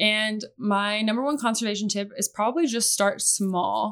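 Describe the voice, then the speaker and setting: A woman talks with a Midwestern American accent. Her pitch is fairly high and her intonation fairly even. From US Midwest (Iowa). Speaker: conservation biologist. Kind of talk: casual chat.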